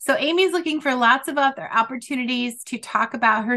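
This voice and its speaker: A woman's high-pitched voice, bright and sharp in tone, sounds energetic and shows ordinary pitch variation. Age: 50s. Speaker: podcast host. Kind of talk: casual interview chat.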